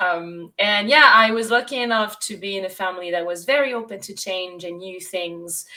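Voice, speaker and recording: Moderate pace in a French accent, with big swings in loudness. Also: woman. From France, Bordeaux. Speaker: sustainable tourism consultant and guide. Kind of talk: interview.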